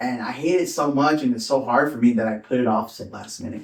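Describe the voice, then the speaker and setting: An ordinary speaking voice with an American accent, at a moderate pace and with fairly even intonation. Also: man. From Southern California, Orange County. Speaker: stand-up comedian. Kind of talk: casual chat.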